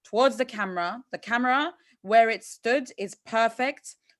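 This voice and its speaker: With an animated tone and lively intonation, a woman speaks at a fairly high pitch against a quiet background. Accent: Turkish. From Turkey. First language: Turkish. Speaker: competition host. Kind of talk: feedback to contestant. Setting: video call.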